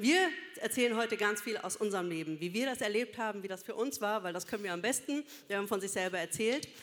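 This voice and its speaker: A woman talks at a very fast pace. Her fairly high pitch shows ordinary variation. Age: 40s. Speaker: social worker and church speaker. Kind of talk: sermon.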